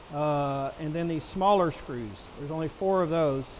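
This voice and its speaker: Loud and at a moderate pace, a man speaks with ordinary pitch variation. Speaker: product reviewer. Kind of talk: tutorial. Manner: casual.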